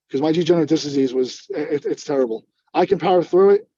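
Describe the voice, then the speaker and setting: This man has a fairly high pitch and a dark, mellow tone, talking at a fairly quick pace. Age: 40s. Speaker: police officer and army veteran. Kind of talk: product testimonial interview.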